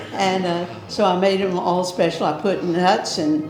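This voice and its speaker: The speech goes at a very slow pace. Music plays in the background, and room echo is audible. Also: woman. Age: 80s+. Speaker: bed and breakfast host. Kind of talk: casual interview.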